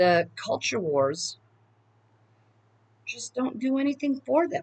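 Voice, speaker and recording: A woman with an American accent speaks at a very slow pace with very wide pitch swings, the sound dry and close with no echo. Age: 50s. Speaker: political video blogger. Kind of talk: casual monologue. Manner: halting.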